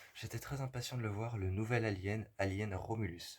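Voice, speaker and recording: At a very slow pace, a man speaks at medium pitch with ordinary pitch variation and a somewhat breathy sound, in a very clean recording with a silent background. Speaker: film reviewer. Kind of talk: film review monologue. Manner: halting, many hesitations.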